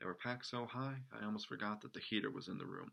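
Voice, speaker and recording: His bright, sharp tone comes with ordinary pitch variation as the man speaks. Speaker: amateur storyteller. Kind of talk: reading aloud. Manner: dramatic.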